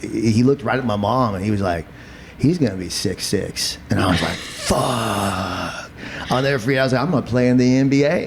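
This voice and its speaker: With noticeable background noise behind him, a man speaks at a fairly quick pace and medium pitch in an animated tone. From eastern Kentucky, Appalachia. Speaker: podcast host and comedian. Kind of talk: casual chat.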